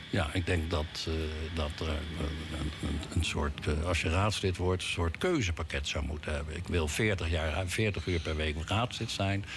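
A man with a very deep, low voice speaks at a very slow pace with fairly even intonation. Audible room echo surrounds him. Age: old. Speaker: city councillor. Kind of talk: radio interview. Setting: studio. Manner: halting.

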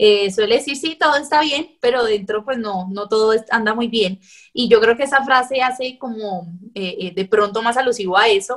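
At a moderate pace, a woman talks in a normal speaking voice, fairly high in pitch and with ordinary pitch variation. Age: 20s. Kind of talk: interview.

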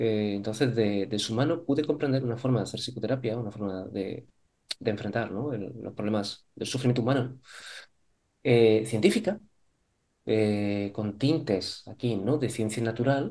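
A man's dark, mellow tone at a medium pitch. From Spain, Córdoba (Andalusia). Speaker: psychologist, psychotherapist. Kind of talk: interview conversation.

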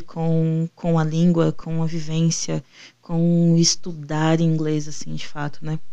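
A woman speaks at a very slow pace. Her voice is fairly low-pitched, with a dark, mellow tone. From Brazil, interior of São Paulo (Ribeirão Preto). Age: 20s. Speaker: podcast co-host, PhD student. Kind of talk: casual chat.

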